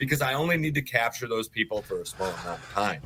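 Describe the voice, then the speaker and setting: Talking at a very fast pace, a man with a medium pitch has a bright, sharp tone, lively intonation, and vocal fry. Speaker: auctioneer.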